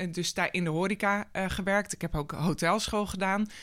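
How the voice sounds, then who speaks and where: This woman has a medium pitch and a bright, sharp tone. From Netherlands, North Holland (Schellinghout near Hoorn). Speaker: sustainability programme manager at holiday park company. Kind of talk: interview. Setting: studio. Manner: hesitant, many fillers.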